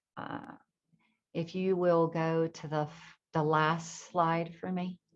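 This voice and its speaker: With an American accent, a woman speaks at a very slow pace in a fairly low pitch, her intonation fairly even. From North Carolina, Blue Ridge Mountains. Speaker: spiritual teacher and hypnotherapist. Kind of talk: spiritual talk to an audience. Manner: casual, conversational.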